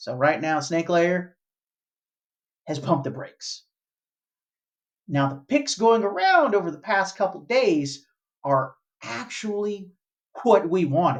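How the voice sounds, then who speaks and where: The voice carries a Southern US accent. It moves at a fairly slow pace. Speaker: toy collector YouTuber. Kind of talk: casual video commentary. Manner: halting, repeats words.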